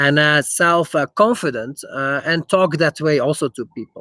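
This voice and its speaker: Dry and close with no echo, a man's bright, sharp voice sits at a fairly high pitch, carrying a slight Dutch accent. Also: very clean recording, silent background. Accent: slight Germanic (Dutch) accent in English. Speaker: investor. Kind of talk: live stream Q&A. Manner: halting, many fillers.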